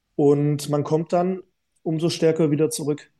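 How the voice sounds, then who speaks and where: With a dark, mellow tone yet high pitch, a man talks at a moderate pace in monotone, flat intonation. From southern Germany, Swabia (Ehingen an der Donau). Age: 30s. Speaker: retired handball player. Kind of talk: casual interview.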